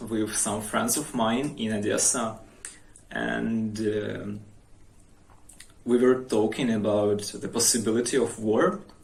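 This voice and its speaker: The speaker goes at a very slow pace with long, frequent pauses and fairly even intonation, and audible room echo surrounds the voice. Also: man. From Ukraine, Odesa region. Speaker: vlogger. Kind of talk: personal account. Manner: halting.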